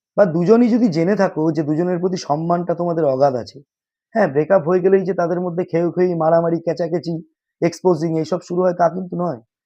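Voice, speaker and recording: Against a quiet background, a man talks in a dark, mellow tone at a high pitch with ordinary pitch variation. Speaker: confession reaction video host. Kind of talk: casual monologue to camera.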